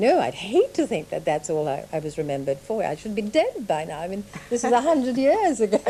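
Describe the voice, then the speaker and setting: A woman with a fairly high voice talks at a very fast clip, her pitch swinging very widely over noticeable background noise. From Sri Lanka, Malaysia and England. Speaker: writer and artists' model. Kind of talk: radio interview.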